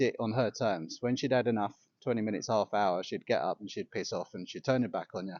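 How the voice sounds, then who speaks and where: Talking at a very fast pace, a man with an English accent uses lively intonation. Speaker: yoga teacher. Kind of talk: personal reflection vlog. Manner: halting.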